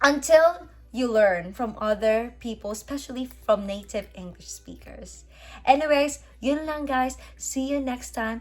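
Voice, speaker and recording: With music in the background, a woman with a Filipino accent speaks at a fairly slow pace in a fairly high pitch, her intonation lively. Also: big swings in loudness. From Philippines. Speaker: vlogger. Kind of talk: casual chat.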